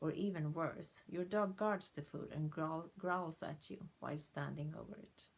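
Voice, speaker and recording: The delivery is fairly slow, with hardly any pauses, fairly even intonation and vocal fry. Loudness swings widely, and there is a non-native accent. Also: woman, fairly low pitch for a woman. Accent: non-native English accent, self-noted. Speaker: dog behaviour trainer. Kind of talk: direct-to-camera introduction video. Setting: to camera.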